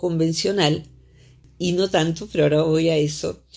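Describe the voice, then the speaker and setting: A woman has an ordinary speaking voice at a fairly low pitch. She talks fairly slowly against a quiet background. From Argentina. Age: 60s. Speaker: psychologist; psychologist radio columnist. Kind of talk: radio interview. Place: studio.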